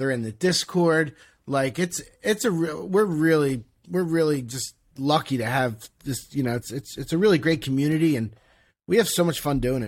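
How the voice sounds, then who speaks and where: A man's normal speaking voice in an American accent, fairly high in pitch with lively intonation, at a moderate pace on a very clean recording with a silent background. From Philadelphia. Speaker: podcast co-host and former ticket broker. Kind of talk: casual interview.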